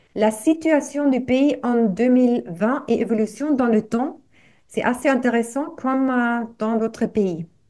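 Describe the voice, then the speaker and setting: In a very clean recording with a silent background, a woman with a high pitch and a dark, mellow tone speaks at a very slow pace, with ordinary pitch variation and very even loudness. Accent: German. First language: German (speaking French). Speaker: activist, association representative. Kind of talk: reading aloud. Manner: halting.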